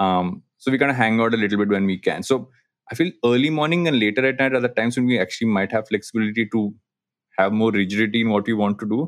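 A man with an Indian accent at a very fast pace, with a fairly low pitch and ordinary pitch variation. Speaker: podcaster and digital agency co-founder. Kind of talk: casual interview chat. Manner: halting, many fillers.

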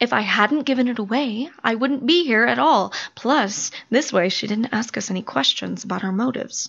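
A woman with a fairly high voice talks at a moderate pace with lively intonation and vocal fry. She hardly pauses at all. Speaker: voice actor. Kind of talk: audio drama performance.

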